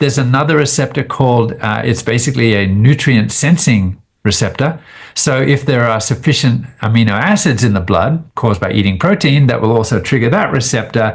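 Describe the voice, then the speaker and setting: Speaking with a slight Australian accent, a man talks at a fairly quick pace and medium pitch, somewhat breathy, with lively intonation and very even loudness. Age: 60s. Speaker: biochemist and immunologist. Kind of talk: podcast interview. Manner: casual, hesitant with fillers.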